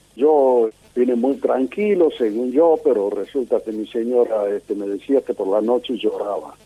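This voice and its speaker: Against noticeable background noise, a man with a medium pitch speaks at a fairly slow pace with hardly any pauses. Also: lively intonation. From Italy, raised in Argentina. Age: 80s+. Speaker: war veteran, radio amateur. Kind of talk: interview testimony.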